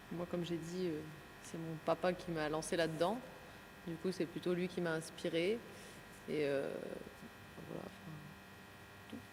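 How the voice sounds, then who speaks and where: A woman talks at a fairly slow pace with long, frequent pauses. Her pitch is fairly low, with ordinary variation. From France, Besançon. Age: 20s. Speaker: handball player. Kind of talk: interview.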